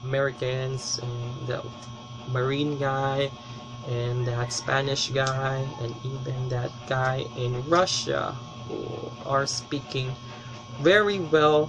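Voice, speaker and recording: At a very slow pace with long, frequent pauses, a man speaks in fairly even intonation, with noticeable background noise and audible room echo. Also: medium pitch for a man. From Philippines, Davao City. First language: Bisaya (Cebuano). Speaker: language teacher. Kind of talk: tutorial.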